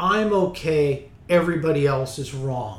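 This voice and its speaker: Very slowly and somewhat breathily, a man speaks in a fairly high pitch with lively intonation. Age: 50s. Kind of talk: interview.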